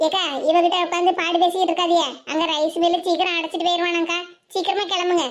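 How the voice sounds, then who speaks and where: In a cartoonish character voice, a woman speaks at an extremely high pitch and a moderate pace, with very even loudness and monotone, flat intonation. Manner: aggrieved, insistent.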